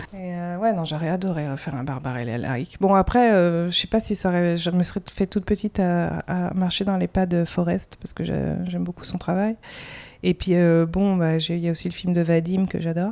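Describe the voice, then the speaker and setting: Speaking at a moderate pace, a woman has a fairly low pitch, a dark, mellow tone and ordinary pitch variation. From France. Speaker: comics artist. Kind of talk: interview. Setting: in-person interview in Montreal.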